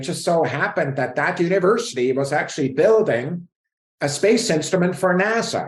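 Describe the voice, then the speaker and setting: In a Swiss accent, a man speaks high for his sex and at a fairly quick pace. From Switzerland, mountain village. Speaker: space scientist. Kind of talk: interview.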